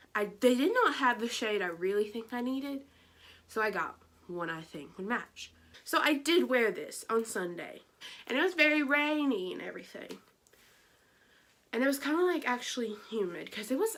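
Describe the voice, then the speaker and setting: A woman's high voice with an American accent, very wide pitch swings, big shifts in loudness, a moderate pace, and long, frequent pauses. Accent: Georgia accent, comes out at times. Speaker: beauty vlogger. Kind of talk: casual product review. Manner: chatty, filler-heavy.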